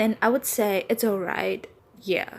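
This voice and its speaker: In a Vietnamese accent, a woman talks at a moderate pace and medium pitch with ordinary pitch variation. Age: 20s. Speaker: English teacher and podcaster. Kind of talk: casual monologue podcast. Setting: apartment with doors open.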